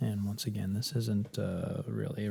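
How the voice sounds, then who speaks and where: Soft-spoken and somewhat breathy, a man talks at a fairly slow pace in a calm tone with a fairly low pitch. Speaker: massage ASMR creator. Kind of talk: soft-spoken ASMR massage commentary. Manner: soft-spoken, calm.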